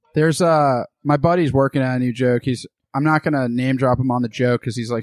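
An unremarkable speaking voice from a man with an American accent, medium pitch and fairly even intonation, at a fairly quick pace, on a very clean recording with a silent background and a dry, close sound with no echo. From Boston area, Massachusetts. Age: 20s. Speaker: comedian. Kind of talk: casual chat.

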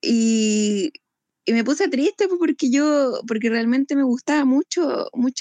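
Heard in a dry, close sound with no echo, a woman with a Chilean accent speaks at a fairly slow pace. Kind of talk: casual chat.

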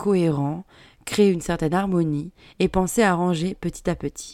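Fairly low in pitch, a woman speaks in a dark, mellow tone at a fairly slow pace with fairly even intonation. The recording is very clean with a silent background. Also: dry, close sound with no echo. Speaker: podcast host on home decoration. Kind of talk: relaxed podcast monologue.

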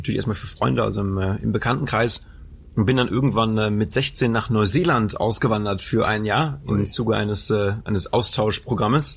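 A man speaks fairly quickly in a fairly low, somewhat breathy voice. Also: ordinary pitch variation. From Germany, Lower Rhine area (Anholt/Bocholt). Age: 20s. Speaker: mentalist and hypnotist. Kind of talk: casual interview. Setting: theatre venue.

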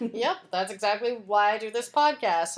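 A woman's plain, everyday voice, with an American accent, lively intonation and a moderate pace. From Texas. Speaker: podcast host.

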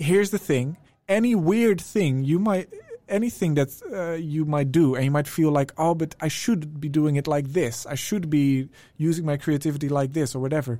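At a moderate pace, a man with a Dutch accent speaks in a dark, mellow tone, fairly high in pitch, with ordinary pitch variation. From Netherlands. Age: 20s. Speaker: music producer. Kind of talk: casual chat.

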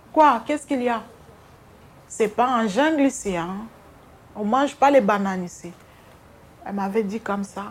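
A fairly high-pitched woman at a moderate pace, with lively intonation, big swings in loudness and long, frequent pauses. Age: 50s. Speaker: hospital cleaner. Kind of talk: interview testimony. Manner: halting.

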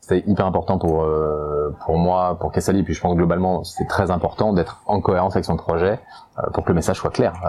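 Over noticeable background noise, a man speaks at a fairly quick pace. His very deep, low voice keeps a fairly even intonation. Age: 40s. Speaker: entrepreneur. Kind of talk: testimony. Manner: halting.

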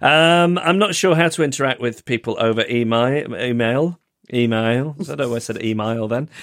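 On a very clean recording with a silent background, a man with a British accent speaks at a moderate pace and medium pitch with lively intonation. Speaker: podcast co-host. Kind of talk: casual chat. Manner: chatty, hesitant with fillers.

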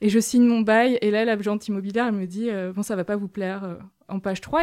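A woman's fairly high voice at a very fast pace, ordinary pitch variation, on a very clean recording with a silent background. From France, small village. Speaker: author and feminist activist. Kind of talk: interview.

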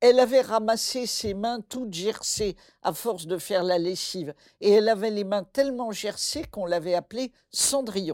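With an ordinary speaking voice, a woman talks at a moderate pace in a fairly high pitch with ordinary pitch variation, on a very clean recording with a silent background. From French West Africa (born Bamako, Mali). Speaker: folktale scholar. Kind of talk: interview conversation.

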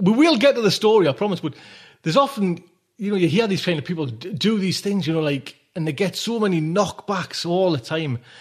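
Speaking with a Geordie accent, a high-pitched man talks at a fairly quick pace, his tone animated and his intonation lively. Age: 40s. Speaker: podcast host. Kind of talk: casual monologue. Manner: rambling, animated.

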